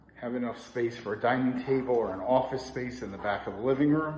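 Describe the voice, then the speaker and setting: A man at a moderate pace with ordinary pitch variation, in audible room echo. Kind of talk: apartment tour narration. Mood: upbeat sales tone. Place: home room. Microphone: phone near.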